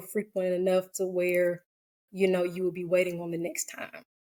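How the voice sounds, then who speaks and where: A woman in an American accent, at a medium pitch and a fairly slow pace. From US South, Georgia (Cobb County). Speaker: licensed professional counselor. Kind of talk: personal testimony in podcast interview. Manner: hesitant, many fillers; soft-spoken.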